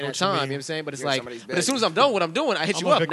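A man rattles off his words very fast, his pitch swinging very widely, with noticeable background noise in the mix. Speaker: podcast co-host. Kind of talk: casual, slangy.

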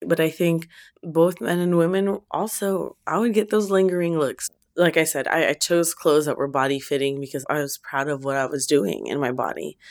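A woman speaks with an unremarkable speaking voice, fairly low in pitch, with ordinary pitch variation. Her pace is moderate, and the recording is very clean with a silent background. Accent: American. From US, Filipino American family. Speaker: academic author and mother. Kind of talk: interview testimony.

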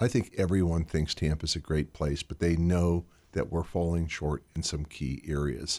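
A man's very deep, low pitch and dark, mellow tone come through a very clean recording with a silent background. He talks at a moderate pace with ordinary pitch variation. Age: 60s. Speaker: mayoral candidate and civic leader. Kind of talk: radio interview.

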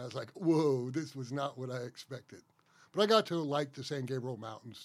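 A man with an American accent has an unremarkable speaking voice at a medium pitch. He talks at a fairly quick pace with ordinary pitch variation, on a very clean recording with a silent background. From US South, Atlanta, Georgia. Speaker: state forester. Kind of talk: interview.

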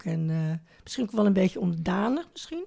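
A woman's medium-pitched voice with a dark, mellow tone at a moderate pace. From Netherlands, Amsterdam. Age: 70s. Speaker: retired neighbour, grandmother. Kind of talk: casual interview. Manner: halting.

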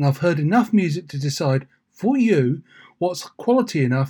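A man's dark, mellow voice with a slightly husky edge, big pitch swings and a moderate pace.

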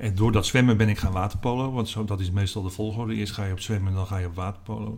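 Somewhat breathy, the man speaks at a very fast pace with a fairly low pitch. His intonation is monotone and flat. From Netherlands, North Holland (Alkmaar/Heiloo). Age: 60s. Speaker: newspaper columnist. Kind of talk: interview. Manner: halting.

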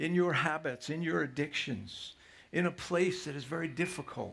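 The voice has vocal fry. The pace is fairly slow. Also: man. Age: 60s. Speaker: pastor. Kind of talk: sermon. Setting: church.

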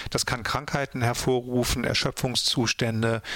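At a moderate pace and medium pitch, a man talks with fairly even intonation in an unremarkable speaking voice. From Ruhr area, Germany (Mülheim an der Ruhr). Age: 50s. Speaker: author and radio drama director. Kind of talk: casual interview.

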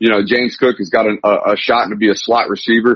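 Speaking at a fairly quick pace, a man has an unremarkable speaking voice at a medium pitch. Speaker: sports reporter. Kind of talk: sports talk radio interview.

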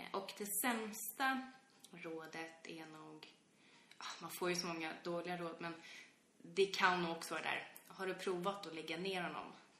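Over noticeable background noise and audible room echo, a woman with fairly low pitch and ordinary pitch variation speaks at a fairly slow pace, with big swings in loudness and long, frequent pauses. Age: 20s. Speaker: podcast co-host, parent. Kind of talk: casual chat.

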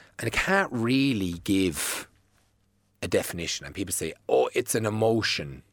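A man with an Irish accent and a fairly low pitch talks at a moderate pace with lively intonation, captured in a very clean recording against a silent background. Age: 30s. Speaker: fitness tutor. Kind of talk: casual chat.

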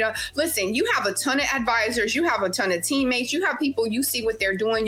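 With a Louisiana accent, a woman speaks at a very fast pace and a high pitch. Noticeable background noise runs underneath. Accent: Louisiana Southern US. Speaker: nurse and personal trainer. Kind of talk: casual chat.

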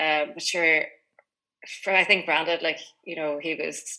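In a Donegal accent, a woman speaks at a fairly quick pace with a fairly low pitch. Her tone is bright and sharp, and her intonation fairly even. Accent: Donegal Irish. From Inishowen, County Donegal, Ireland. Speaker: drinks company founder. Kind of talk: radio interview. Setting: video call. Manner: casual, with many likes and ums.

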